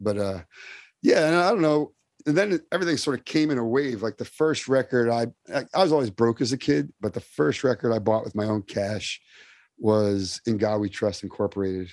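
A man's unremarkable speaking voice at medium pitch with an American accent, fairly quick in pace, with a dry, close sound with no echo and a quiet background. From New Jersey (Summit, NYC suburb). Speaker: hardcore punk vocalist. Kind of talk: casual interview chat.

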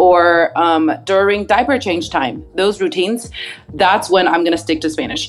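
A woman's voice over noticeable background noise. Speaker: speech therapist. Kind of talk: casual interview, expert advice.

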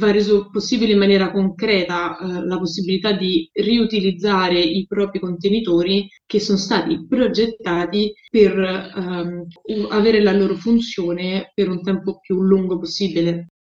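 A woman at medium pitch talks at a fairly slow pace with hardly any pauses. Her intonation stays fairly even. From Rome, Italy. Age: 30s. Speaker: sustainability entrepreneur. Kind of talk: interview. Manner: halting, frequent fillers.

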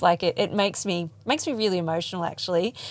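Her medium pitch and ordinary pitch variation come through on a very clean recording with a silent background as a woman speaks. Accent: Australian. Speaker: podcast host. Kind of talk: interview; scripted narration. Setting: mobile podcast van at a field day.

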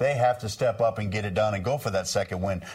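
Speaking at a very fast pace, a man with a medium-pitched, somewhat breathy voice keeps his intonation fairly even on a very clean recording with a silent background. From Maine, US. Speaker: NASCAR crew chief and TV analyst. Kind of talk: casual panel chat.

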